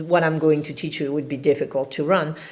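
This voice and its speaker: A woman is speaking. She has a French accent. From France, Paris. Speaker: qigong teacher. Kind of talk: live-streamed instructional class. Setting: livestream with chat. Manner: calm, relaxed.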